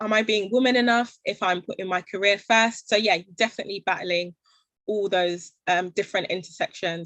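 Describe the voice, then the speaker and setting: Against a quiet background, a woman with a London accent speaks in a fairly even intonation. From London, England. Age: 20s. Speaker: social enterprise founder. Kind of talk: panel Q&A talk.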